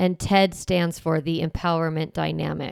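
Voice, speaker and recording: An unremarkable speaking voice from a woman with fairly low pitch, at a moderate pace. The recording is very clean with a silent background and a dry, close sound with no echo. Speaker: parenting podcast host. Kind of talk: podcast monologue.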